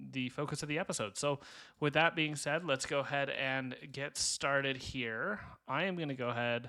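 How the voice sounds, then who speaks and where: On a very clean recording with a silent background, a man talks at a moderate pace with a bright, sharp tone, a fairly high pitch and ordinary pitch variation. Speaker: gaming YouTuber. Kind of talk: gameplay commentary. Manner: speaking a bit louder than usual.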